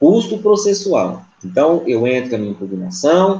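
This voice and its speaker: Somewhat breathy, a man speaks at a moderate pace with a fairly high pitch and very wide pitch swings. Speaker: law professor. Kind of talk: lecture.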